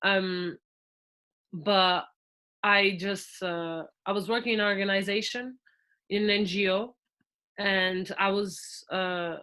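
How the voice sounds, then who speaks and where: With a Portuguese accent, a woman of medium pitch speaks very slowly in a monotone, flat delivery, her bright, sharp tone broken by long, frequent pauses. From Portugal. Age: 20s. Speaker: podcast guest, former volunteer. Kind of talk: casual interview. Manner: halting.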